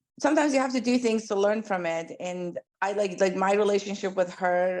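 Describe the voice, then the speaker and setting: A woman with an Iranian accent, animated tone and lively intonation at a fairly quick pace over a quiet background. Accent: Iranian (Persian) accent in English. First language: Persian. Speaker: pediatric dentist. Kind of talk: interview.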